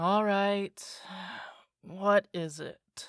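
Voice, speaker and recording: Pitched in the middle range, this female-sounding voice is a put-on character voice. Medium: audio drama. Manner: defensive, high-strung.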